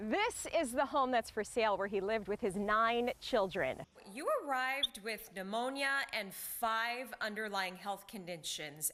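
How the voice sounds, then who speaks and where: Lively intonation comes through in an American accent at a fairly slow pace. Noticeable background noise sits behind the voice. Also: woman, fairly high pitch for a woman. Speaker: television news anchor and reporter. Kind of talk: TV news anchor delivery.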